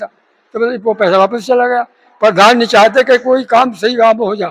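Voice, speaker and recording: A man with a high voice talks at a moderate pace, and the sound is dry and close with no echo. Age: 70s. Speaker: villager interviewed. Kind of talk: street interview.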